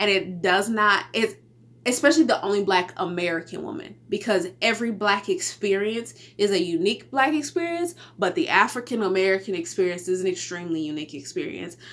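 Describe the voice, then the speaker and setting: In a Texas accent, a woman talks at a fairly quick pace with medium pitch and lively intonation. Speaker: podcast host. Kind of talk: casual solo podcast talk. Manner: casual, conversational with fillers.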